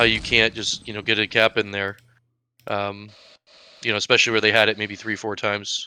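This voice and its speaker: The man's tone is bright and sharp. He speaks at a moderate pace in an American accent. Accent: Maine accent, noted by others. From Maine, US. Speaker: esports caster. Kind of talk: live game commentary. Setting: live stream.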